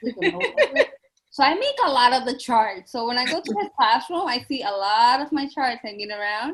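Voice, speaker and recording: This speaker has a Spanish accent and lively intonation. The pace is fairly quick. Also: woman, high pitch for a woman. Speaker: educator. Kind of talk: casual chat.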